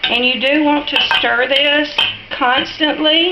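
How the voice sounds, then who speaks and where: A woman with a strong Southern US accent raises and projects her voice at a very slow pace. Background noise is noticeable. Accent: thick Southern US drawl. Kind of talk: casual cooking tutorial talk to camera. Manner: friendly, chatty.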